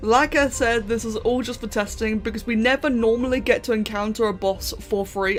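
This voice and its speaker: An animated tone with music in the background. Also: woman. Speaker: gaming youtuber. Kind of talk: gameplay commentary. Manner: fast.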